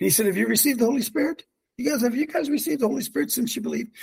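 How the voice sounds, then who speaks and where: A man is speaking. His tone is animated. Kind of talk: casual religious talk show. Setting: video call.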